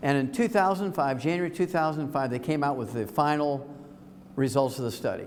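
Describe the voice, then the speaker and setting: Delivered at a fairly quick pace with ordinary pitch variation, the speech carries audible room echo. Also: man, fairly high pitch for a man. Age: 70s. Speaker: health lecturer. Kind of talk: lecture. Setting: stage with audience. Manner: animated.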